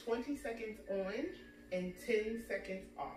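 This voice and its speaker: A woman speaks at a very slow pace with ordinary pitch variation. Clear music plays in the background, and the room echo is audible. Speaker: fitness instructor. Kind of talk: workout intro talk. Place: home room. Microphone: camera far.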